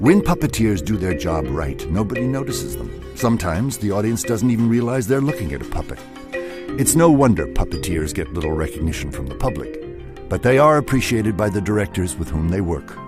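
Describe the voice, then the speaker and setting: A man's fairly low voice with very wide pitch swings at a fairly quick pace, over music in the background. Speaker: narrator. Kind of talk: documentary narration.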